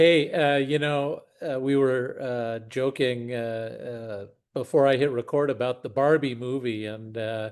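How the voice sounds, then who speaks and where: In a plain, everyday voice, a man at medium pitch talks at a fairly slow pace with fairly even intonation and hardly any pauses. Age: 60s. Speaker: podcast host and investor. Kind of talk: casual chat.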